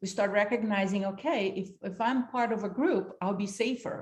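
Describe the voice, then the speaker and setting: Somewhat breathy, a woman with a Brazilian accent speaks with ordinary pitch variation. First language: Portuguese. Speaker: leadership institute founder and facilitator. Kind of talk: workshop talk.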